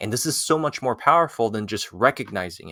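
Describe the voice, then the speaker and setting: Over a silent background in a very clean recording, a man with a French accent speaks fairly quickly in a medium pitch with a bright, sharp tone. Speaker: language-learning YouTuber. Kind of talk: tutorial. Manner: casual, with many fillers.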